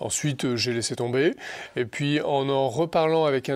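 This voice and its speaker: This man's pitch is fairly high. He speaks fairly slowly. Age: 40s. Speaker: senior civil servant and Bitcoin commentator. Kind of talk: interview. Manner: hesitant, many fillers.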